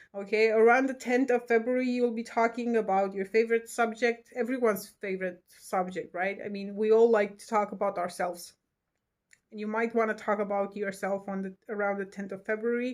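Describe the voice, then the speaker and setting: A monotone, flat delivery in a non-native accent, with big swings in loudness, on a very clean recording over a silent background. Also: woman. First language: not English. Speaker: tarot and astrology reader. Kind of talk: horoscope reading to camera. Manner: halting, many fillers; casual, chatty.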